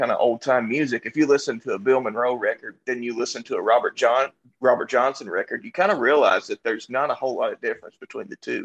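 A man with a Kentucky accent at a very fast pace, in a dry, close sound with no echo. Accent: Kentucky Southern US. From Glasgow, Kentucky. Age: 20s. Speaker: rock musician. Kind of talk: casual panel chat.

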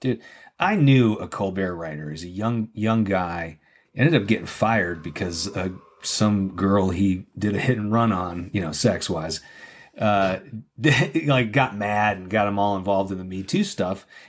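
A man's plain, everyday voice, fairly low in pitch, with ordinary pitch variation and a moderate pace. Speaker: co-host guest. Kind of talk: casual chat.

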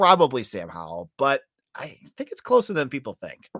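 A man talks with a slight Boston accent. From Boston, northern US. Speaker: college football podcaster.

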